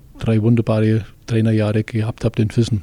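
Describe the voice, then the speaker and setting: The man's tone is dark and mellow, recorded with dry, close sound and no echo. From Westallgäu, Bavaria. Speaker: fitness studio owner and football coach. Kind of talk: interview.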